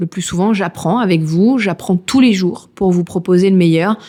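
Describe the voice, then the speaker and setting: A woman talks at a moderate speed, her pitch varying in an ordinary way. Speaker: true crime YouTuber. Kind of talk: casual Q&A video. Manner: casual, with filler words.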